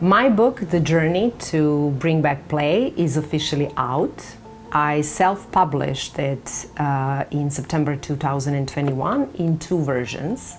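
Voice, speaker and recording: A woman with a Serbian accent speaks in a very deep, low voice at a fairly slow pace, with hardly any pauses and ordinary pitch variation. Noticeable background noise can be heard. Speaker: author. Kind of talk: book announcement to camera. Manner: halting.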